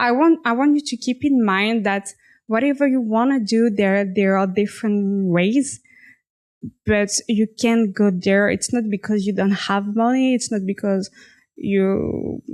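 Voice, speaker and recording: Against a quiet background, a woman with a French accent speaks at a fairly slow pace. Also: medium pitch for a woman, ordinary pitch variation. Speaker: fashion designer. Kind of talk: personal story monologue. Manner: halting, self-correcting.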